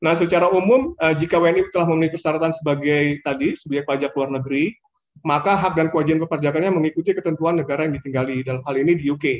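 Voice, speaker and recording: Against a quiet background, a man with a fairly high pitch talks at a very fast pace in fairly even intonation. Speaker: government finance official; presenter. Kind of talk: webinar presentation. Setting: video call. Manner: hesitant, many fillers. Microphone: video call.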